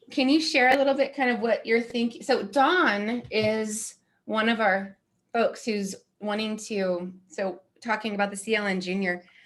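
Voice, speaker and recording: Here is a woman with a plain, everyday voice and an American accent. Her pitch is fairly high, with ordinary variation, and her pace is fairly slow. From Oklahoma, US. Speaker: community leader. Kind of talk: casual chat.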